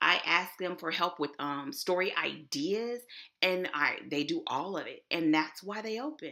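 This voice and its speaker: In a Texas accent, a woman speaks in an animated, bright, sharp tone with lively intonation. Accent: Texas twang. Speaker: author and web developer. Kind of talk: online conference presentation. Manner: casual.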